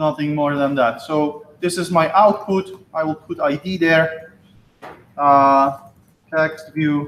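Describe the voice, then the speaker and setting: At a very slow pace, a man with a fairly high pitch talks with fairly even intonation. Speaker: college instructor. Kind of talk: lecture.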